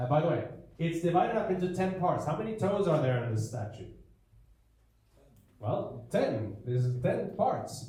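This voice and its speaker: Speaking at a moderate pace with long, frequent pauses, a man uses a non-native accent and a high pitch with very wide pitch swings. Audible room echo surrounds his voice. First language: not English. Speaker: preacher. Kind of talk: lecture. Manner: animated.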